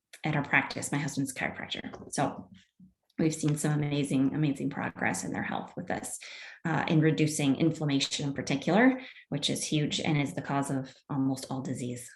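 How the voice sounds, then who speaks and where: The voice is somewhat breathy, with fairly even intonation, and its pace is fairly quick. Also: woman, very deep, low pitch for a woman. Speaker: wellness product seller and class teacher. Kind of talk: online presentation with product pitch. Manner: fast.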